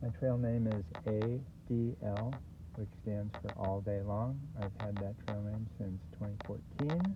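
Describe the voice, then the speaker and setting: A man with an American accent speaks slowly-ish, at a fairly slow pace and fairly low pitch. His ordinary pitch variation comes through audible room echo. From California. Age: 70s. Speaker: long-distance hiker, vlogger. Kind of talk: casual personal narrative to camera. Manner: halting, many fillers.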